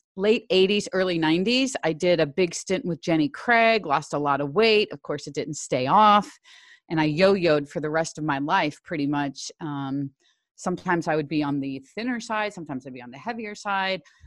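Against a quiet background, a woman speaks at a moderate pace in an unremarkable speaking voice, her fairly low pitch carrying lively intonation and big swings in loudness. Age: 60s. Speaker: fitness trainer and former school teacher. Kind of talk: interview.

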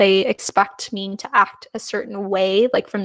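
A woman speaks at a fairly slow pace in a dry, close recording with no echo. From Canada, New Westminster and Surrey, BC. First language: Punjabi. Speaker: music PR specialist. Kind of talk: interview.

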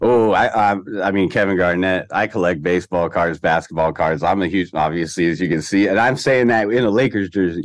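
A man speaks at a fairly quick pace with hardly any pauses, his voice very deep and low. His pitch varies in an ordinary way, and his loudness stays very even. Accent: American. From US West Coast, Orange County, Southern California. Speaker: DJ and hip hop producer. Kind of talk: casual chat.

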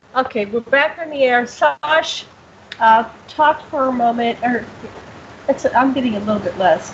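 With long, frequent pauses, a woman speaks at a high pitch with ordinary pitch variation over noticeable background noise. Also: fairly slow pace. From US Northeast (Pennsylvania). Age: 60s. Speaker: radio show host. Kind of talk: casual interview chat.

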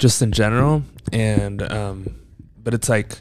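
A man speaks with a fairly low pitch. His pitch variation is ordinary. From a developing country, moved to the US. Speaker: podcast co-host. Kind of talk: casual chat.

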